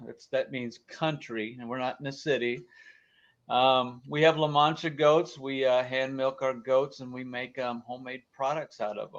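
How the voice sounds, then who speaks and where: Over a quiet background, a man with an American accent talks at a moderate pace with ordinary pitch variation. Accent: slight twang, Missouri and Montana. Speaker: goat farmer and soap maker. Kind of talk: casual interview.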